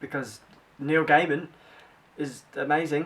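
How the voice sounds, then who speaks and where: A man speaks with a British accent over noticeable background noise. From Britain. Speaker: book vlogger. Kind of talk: casual vlog. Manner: fast; animated.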